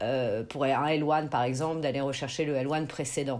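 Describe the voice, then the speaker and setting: Here is a woman with a very deep, low pitch. Her pitch variation is ordinary. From France. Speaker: immigration lawyer. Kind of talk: interview, explaining immigration procedures.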